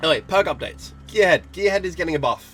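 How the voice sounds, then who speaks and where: Music plays behind a man as he speaks. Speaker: gaming commentator. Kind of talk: casual talk to camera.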